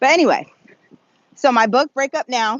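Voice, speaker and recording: A woman talks at a moderate pace. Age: 40s. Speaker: relationship coach and author. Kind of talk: unscripted walking vlog talk. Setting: outdoors, walking. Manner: conversational, with fillers.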